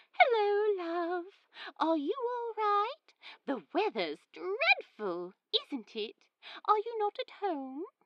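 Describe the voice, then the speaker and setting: Someone uses a put-on character voice. The pace is very slow. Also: woman, extremely high pitch for a woman. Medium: read story. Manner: warm, fussing.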